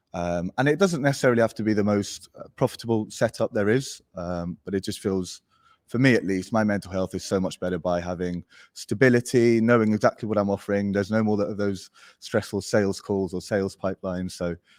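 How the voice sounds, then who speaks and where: Recorded very cleanly against a silent background, a man with an English accent speaks in a fairly low pitch with ordinary pitch variation, the sound dry and close with no echo. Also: fairly quick pace. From Spain. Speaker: agency founder. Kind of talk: podcast interview.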